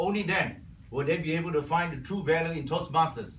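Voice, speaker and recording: Audible room echo around a fairly high-pitched male voice. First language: Cantonese. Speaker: Toastmasters club member. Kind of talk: prepared speech.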